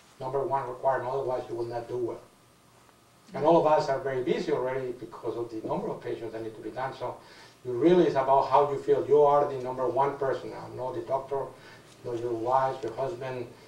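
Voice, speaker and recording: Someone with a non-native accent talks at a very fast pace, with fairly even intonation and big swings in loudness. Room echo is audible, and background noise is noticeable. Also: man, medium pitch for a man. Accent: foreign accent, noticeable. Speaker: cancer surgeon on expert panel. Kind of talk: panel discussion answering audience question.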